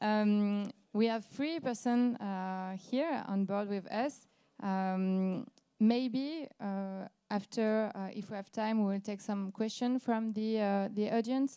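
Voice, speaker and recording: A dark, mellow tone with a French accent at a very slow pace, on a very clean recording with a silent background. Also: woman, fairly high pitch for a woman, ordinary pitch variation. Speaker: company founder, panel moderator. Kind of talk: panel moderation. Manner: halting.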